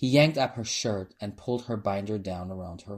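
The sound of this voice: Ordinary shifts in pitch run through this unforced reading voice.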